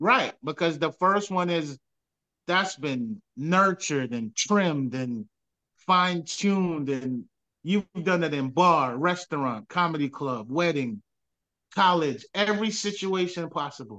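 In a dry, close sound with no echo, a man with a bright, sharp tone and a fairly high pitch speaks fairly slowly, animated in tone, with lively intonation. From Jamaica, raised in New York from age nine. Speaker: comedian. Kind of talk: casual interview chat with stand-up bits. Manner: animated, comedic storyteller.

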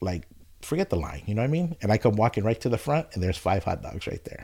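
In a very clean recording with a silent background, a man with an American accent speaks at a fairly low pitch in a dark, mellow, somewhat breathy tone with lively intonation. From California, Oxnard. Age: 40s. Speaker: barber. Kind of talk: casual chat.

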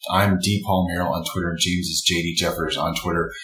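Background noise is noticeable. Over it, this man talks. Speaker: podcast host. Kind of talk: casual interview.

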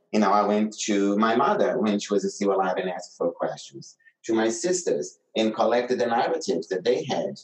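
A man with a Brazilian accent at a fairly quick pace, with hardly any pauses. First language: Portuguese. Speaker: doctor and researcher, playwright. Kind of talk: casual interview conversation.

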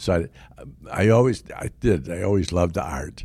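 In a very clean recording with a silent background, a man with a dark, mellow tone and vocal fry speaks at a fairly slow pace. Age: 90s. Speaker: wood carver and volunteer teacher. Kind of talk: interview. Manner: halting.

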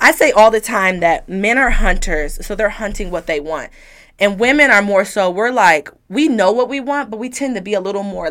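A woman with an American accent and a plain, everyday voice speaks at a moderate pace with lively intonation. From Detroit, Michigan. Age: 20s. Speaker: blogger and mother. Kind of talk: interview.

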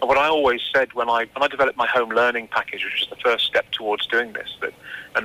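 Talking at a very fast pace, a man speaks with an English accent over noticeable background noise. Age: 40s. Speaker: anxiety therapist. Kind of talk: radio interview.

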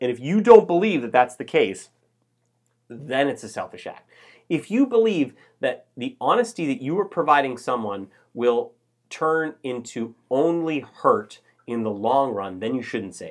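Loud and fairly high-pitched, a man speaks with very wide pitch swings against a quiet background. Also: moderate pace. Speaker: podcast host. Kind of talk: casual chat.

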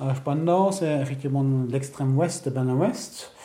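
A man with a German accent speaks at a very slow pace with a fairly high pitch. His intonation is fairly even, and there is audible room echo. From Germany, West Berlin. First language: German (speaking French). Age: 50s. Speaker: interviewee recalling the Berlin Wall. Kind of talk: testimony. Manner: halting.

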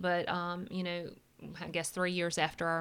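On a very clean recording with a silent background, a woman speaks with a Southern US accent at a fairly low pitch. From US South, South Carolina. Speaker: church staff member. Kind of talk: testimony.

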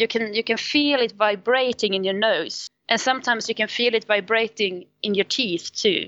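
A woman with a Swedish accent speaks in a fairly high voice, its pitch varying in an ordinary way. Her loudness stays very even, and she hardly pauses at all. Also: moderate pace. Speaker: singing teacher. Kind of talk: interview.

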